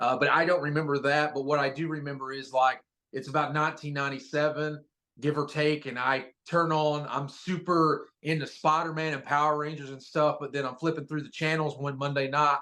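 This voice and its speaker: With an American accent, a man speaks at a fairly quick pace in a flat, monotone intonation. His tone is bright and sharp, his pitch fairly high. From Eastern Kentucky (Pikeville), US Appalachia. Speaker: professional wrestler. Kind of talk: interview. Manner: casual, filler-heavy (uh, um, like).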